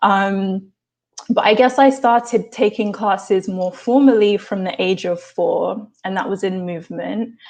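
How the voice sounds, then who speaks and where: At a fairly slow pace, a woman with an English accent speaks in a medium pitch with ordinary pitch variation. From England, London. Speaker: actor and dancer. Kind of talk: interview.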